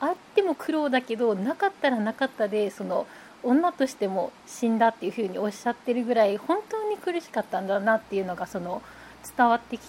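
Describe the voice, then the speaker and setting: A woman speaks at a high pitch and a moderate pace, with very wide pitch swings and big swings in loudness. Noticeable background noise is present. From Japan, Nagasaki. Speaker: newspaper reporter. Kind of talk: casual chat.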